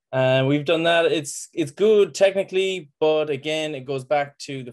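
Fairly quick speech from a man with an Irish accent, ordinary pitch variation and a quiet background. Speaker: farmer; webinar panelist. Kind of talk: presentation. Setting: video call. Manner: passionate. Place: home room. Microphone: video call.

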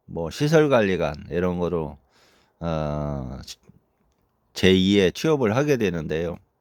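A man speaks very slowly at a very deep, low pitch. The recording is very clean, dry and close with no echo, over a silent background. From South Korea, Chungcheong (Boeun, North Chungcheong). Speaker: retired army officer turned farmer and dog breeder. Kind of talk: personal vlog monologue. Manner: halting, frequent fillers.

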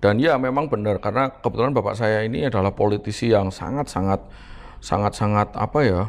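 A man talks at a very fast pace with fairly low pitch. His pitch varies in an ordinary way. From Semarang, Central Java. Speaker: politician and businessman. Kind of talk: casual interview. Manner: animated, jokes and laughs often. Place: home room.

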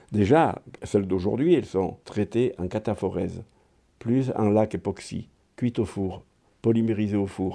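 Fairly low, dark and mellow male speech, fairly slow with long, frequent pauses and ordinary pitch variation, over a quiet background. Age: 70s. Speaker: chair maker, craftsman. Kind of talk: interview, personal storytelling.

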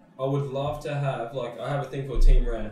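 Amid light background noise and audible room echo, a man with an Australian accent talks at a moderate pace in a fairly high pitch with fairly even intonation. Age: 20s. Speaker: podcast host, extreme sports rider; podcast host. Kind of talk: casual chat. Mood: relaxed, candid. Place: studio.

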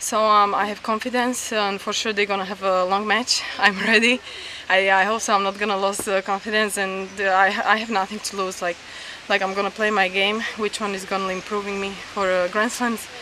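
With light background noise and a dry sound with no echo, a woman at medium pitch speaks at a moderate pace in a monotone, flat intonation. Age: 20s. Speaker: professional tennis player. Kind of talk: post-match interview. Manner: halting. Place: open country. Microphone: camera far.

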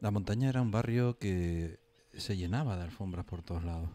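Over light background noise, a man with a very deep, low voice and a dark, mellow tone speaks fairly quickly with ordinary pitch movement. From Canary Islands, Los Realejos (Tenerife); Canary Islands. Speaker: local traditions commentator. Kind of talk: casual radio panel chat. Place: studio.

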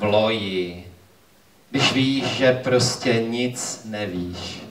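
The speech comes at a very slow pace, with ordinary pitch variation. Background noise is noticeable. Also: man. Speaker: slam poet. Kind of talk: slam poetry performance. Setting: live venue with audience. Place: cafe.

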